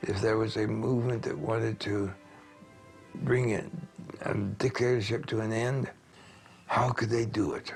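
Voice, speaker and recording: A man talks fairly slowly at a medium pitch, his intonation fairly even, while music plays in the background. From United States. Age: 80s+. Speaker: political scholar. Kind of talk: interview answer. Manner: soft-spoken, quiet.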